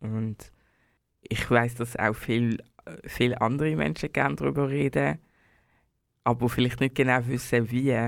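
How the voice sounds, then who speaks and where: With lively intonation, a man of medium pitch talks at a fairly slow pace with long, frequent pauses on a very clean recording with a silent background. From Switzerland, Basel. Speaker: singer and bassist. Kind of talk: casual interview. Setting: studio.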